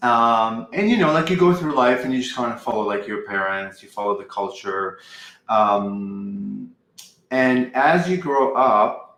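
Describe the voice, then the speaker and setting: The man's tone is bright and sharp, with medium pitch. He keeps a moderate pace and ordinary pitch variation. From Lebanon. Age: 40s. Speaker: spiritual channeler. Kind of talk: interview. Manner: hesitant, many ums and likes.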